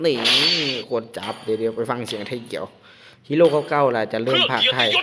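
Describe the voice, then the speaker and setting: An excited man with an Isan accent talks at a medium pitch over noticeable background noise. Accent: Northeastern Thai (Isan). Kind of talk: casual gaming commentary. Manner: excited, informal.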